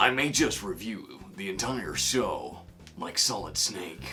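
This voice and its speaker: Against clear background noise, a man performs a put-on character voice at a fairly slow pace. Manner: gruff.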